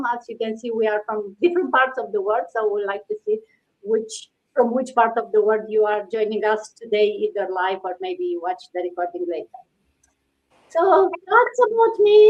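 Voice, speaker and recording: A woman with a Romanian accent and very wide pitch swings. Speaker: live stream host, IT project director. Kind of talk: casual live stream chat. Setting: live video stream.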